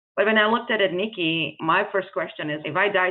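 This woman talks at a moderate pace with a non-native accent. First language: not English. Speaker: nonprofit founder, former finance executive. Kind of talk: interview.

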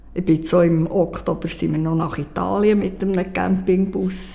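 Fairly slow speech from a woman over noticeable background noise. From Switzerland. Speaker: heart attack survivor. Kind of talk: interview.

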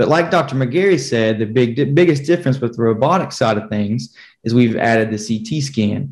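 With an American accent and an unremarkable speaking voice, a man talks at a moderate pace with ordinary pitch variation. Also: medium pitch for a man. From rural southwest Virginia. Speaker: physician assistant. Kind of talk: panel discussion, medical explanation.

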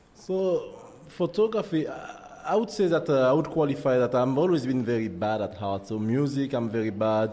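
Noticeable background noise sits behind a man who talks at a moderate pace with a fairly high pitch and very wide pitch swings. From Martinique. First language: French. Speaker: photographer. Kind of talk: interview. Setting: studio. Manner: halting.

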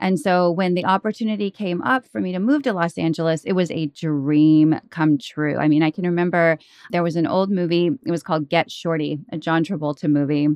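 A woman speaks in a normal speaking voice with an American accent, at a fairly low pitch with ordinary variation. Her pace is fairly quick, with hardly any pauses. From Oklahoma and Texas. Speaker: author and podcaster. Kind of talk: casual chat.

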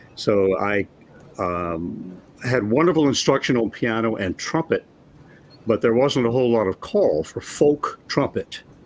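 Using an ordinary speaking voice, a man talks at a medium pitch and fairly slow pace with lively intonation. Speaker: former Kingston Trio musician. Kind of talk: casual interview chat. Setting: video call.

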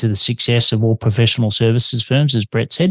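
With an Australian accent, a man speaks very fast at a medium pitch, in a dry, close sound with no echo and a quiet background. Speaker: podcast host. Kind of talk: interview.

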